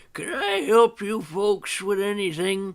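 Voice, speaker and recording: A man in a put-on character voice speaks fairly slowly at a high pitch, with ordinary pitch variation. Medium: solo performance. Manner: folksy, plainspoken.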